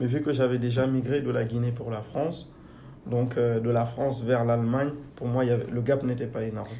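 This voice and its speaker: Monotone, flat speech at a moderate pace amid noticeable background noise and audible room echo. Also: man. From Guinea. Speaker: engineer. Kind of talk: interview. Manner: hesitant.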